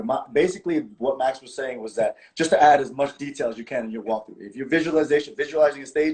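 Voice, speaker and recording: This man's voice sits fairly high. He rushes along at a very fast clip. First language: not English. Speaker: practical shooting champion and instructor. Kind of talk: casual interview on livestream. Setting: social media live video. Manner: halting, repeats words.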